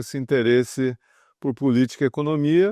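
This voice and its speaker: At a moderate pace, a man speaks with a dark, mellow tone. The sound is dry and close with no echo, over a quiet background. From interior of São Paulo state, Brazil. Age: 60s. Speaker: former journalist and financial market communications executive. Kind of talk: oral history interview. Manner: hesitant, many fillers.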